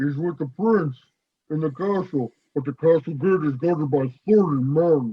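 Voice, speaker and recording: The speaker uses a put-on character voice at a middle pitch. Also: moderate pace. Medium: stage play. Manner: simple, good-natured.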